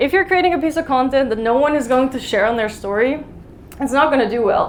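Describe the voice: At a fairly quick pace, a woman talks in a high voice with ordinary pitch variation.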